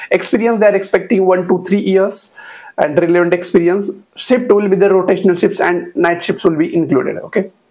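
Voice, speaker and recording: Here a man speaks with an Indian accent at a high pitch. His fairly quick delivery keeps a very even loudness over a quiet background. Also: ordinary pitch variation. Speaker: YouTuber sharing job openings. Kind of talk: tutorial-style informational video. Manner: frequent hesitations with uh. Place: home room. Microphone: lapel.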